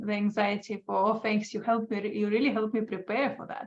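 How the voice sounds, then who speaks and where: Noticeable background noise sits behind a woman with an Estonian accent and a fairly high pitch. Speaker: dog trainer. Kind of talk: casual chat.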